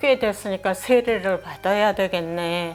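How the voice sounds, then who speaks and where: A very slow delivery with ordinary pitch variation over music in the background. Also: woman. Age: 80s+. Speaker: church deaconess. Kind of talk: interview answer.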